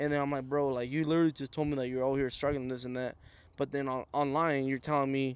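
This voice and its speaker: In a Spanish accent, a man of medium pitch speaks at a very fast pace with monotone, flat intonation on a very clean recording with a silent background. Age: 20s. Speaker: guest, family business owner. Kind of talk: casual chat.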